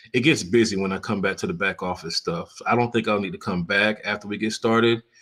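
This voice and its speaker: With an American accent and a normal speaking voice, a man speaks at a medium pitch with ordinary pitch variation on a very clean recording with a silent background. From Florida. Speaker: photographer and live streamer. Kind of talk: casual live stream chat. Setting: live stream with screen sharing. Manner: relaxed, conversational with fillers.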